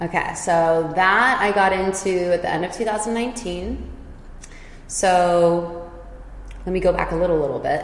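A woman with a Californian accent, fairly low in pitch and fairly even in intonation, at a fairly slow pace with long, frequent pauses, amid audible room echo and noticeable background noise. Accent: Californian American English. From California, Silicon Valley. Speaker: yoga and dance teacher. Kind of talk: casual chat.

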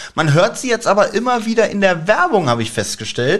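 A man talks at a very fast pace. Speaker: podcast co-host. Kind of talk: interview.

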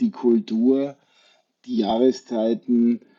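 A man at medium pitch. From Austria, Wachau (Lower Austria). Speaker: hotel group sales executive. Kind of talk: radio interview.

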